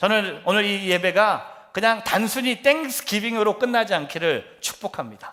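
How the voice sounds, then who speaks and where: A man's raised, projected voice, high-pitched with a bright, sharp tone, ordinary pitch variation, a moderate pace and hardly any pauses. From Korea, then US from sixth grade. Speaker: pastor. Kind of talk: sermon.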